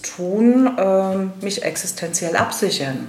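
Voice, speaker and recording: Noticeable background noise and audible room echo surround a woman speaking at a medium pitch. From Rheinhessen, Germany. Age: 50s. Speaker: funeral director. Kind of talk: interview.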